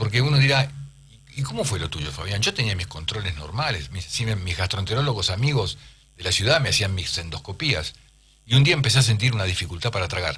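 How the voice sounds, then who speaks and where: In a Rioplatense accent, a man talks at a fairly quick pace in a fairly low voice. His tone is bright and sharp, and his pitch swings very widely. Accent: Argentine Rioplatense Spanish. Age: 60s. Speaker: urologist. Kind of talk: radio interview. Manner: halting.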